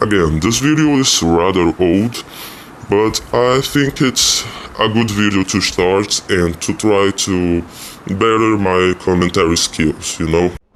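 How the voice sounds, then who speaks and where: With noticeable background noise behind him, a man talks at a very slow pace in a fairly low pitch, keeping ordinary pitch variation and very even loudness. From Brazil. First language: Portuguese. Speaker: YouTube commentator. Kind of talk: video commentary.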